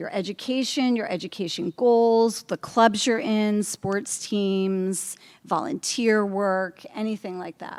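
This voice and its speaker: The recording is very clean, with a silent background. A woman speaks at a fairly high pitch. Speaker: school counselor. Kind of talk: informational presentation to parents. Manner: fast.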